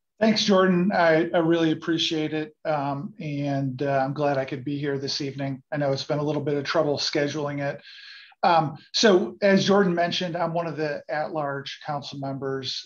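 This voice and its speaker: Against a quiet background, a man speaks at a moderate pace. His intonation stays fairly even. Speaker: at-large council member. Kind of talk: panel opening remarks. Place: home room. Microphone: video call.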